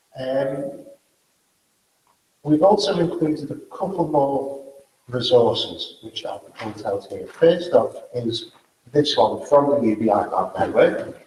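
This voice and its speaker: Speaking very slowly with long, frequent pauses, a man with a Liverpool accent varies widely in loudness amid audible room echo. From northern England, Liverpool. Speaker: event organizer and speaker. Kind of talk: closing remarks at a conference.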